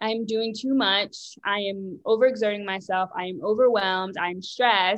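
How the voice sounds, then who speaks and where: A woman speaks in a normal speaking voice. Her pitch sits in the medium range. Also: fairly even intonation, moderate pace. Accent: American. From US, Richmond, Virginia. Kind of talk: interview.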